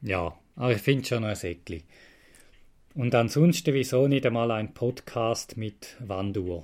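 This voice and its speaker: A man with a Swiss accent talks at a fairly slow pace, his pitch medium with ordinary variation. The recording is very clean, with a silent background. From Switzerland, Frauenfeld (Thurgau). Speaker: podcast host, retro computer collector. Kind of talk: casual solo monologue. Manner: rambling with hesitations.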